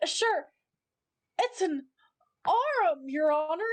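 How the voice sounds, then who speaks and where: A woman's put-on character voice, extremely high, with very wide pitch swings. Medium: stage play. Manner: deferential, saying 'Your Honor'.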